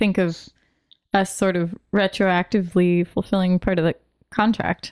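A woman's ordinary speaking voice at a medium pitch and moderate pace, with fairly even intonation and a dry, close sound with no echo. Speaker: tabletop game player. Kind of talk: tabletop role-playing game session.

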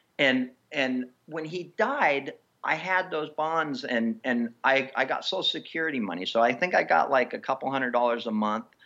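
Lively in intonation, a man at medium pitch talks at a moderate pace. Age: 40s. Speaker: professional mountain biker. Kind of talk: casual interview chat. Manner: animated.

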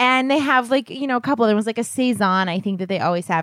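On a very clean recording with a silent background, a woman speaks at a high pitch with very wide pitch swings, the sound dry and close with no echo. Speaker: podcast co-host. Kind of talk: casual chat. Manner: laughs often.

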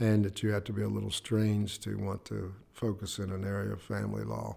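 In an Appalachian accent, a man speaks with a dark, mellow tone at a fairly low pitch. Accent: Appalachian American. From West Virginia, Clay County. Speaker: family court judge. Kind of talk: interview.

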